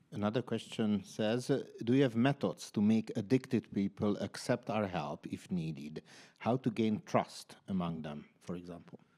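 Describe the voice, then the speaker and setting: A man with a non-native accent speaks at a moderate pace, his fairly low, dark, mellow voice carrying lively intonation. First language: not English. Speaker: panel moderator. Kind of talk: panel moderation.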